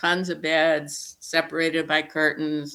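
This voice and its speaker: A woman with an American accent, a very deep, low pitch, and a bright, sharp tone. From US Midwest, Indiana. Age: 70s. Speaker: psychologist. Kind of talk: interview conversation; personal storytelling.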